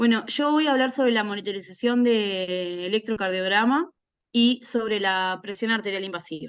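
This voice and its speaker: The woman's pitch is fairly high, with ordinary pitch variation. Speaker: neonatal nurse. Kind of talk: lecture. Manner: fast.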